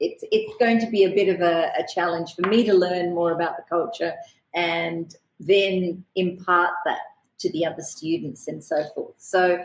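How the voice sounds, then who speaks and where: A woman with an Australian accent, fairly low in pitch, at a moderate pace with fairly even intonation. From Australia, born in Kerala, India. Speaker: lawyer. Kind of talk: podcast interview.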